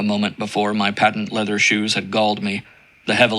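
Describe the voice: The speaker does plain reading aloud.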